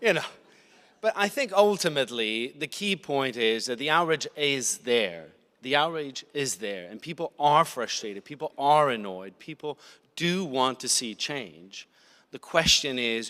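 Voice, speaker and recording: A man with an American accent at medium pitch, bright and sharp in tone, with very wide pitch swings, big swings in loudness, and a moderate pace. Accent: sounds American. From Italy. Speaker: media foundation representative. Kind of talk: panel discussion.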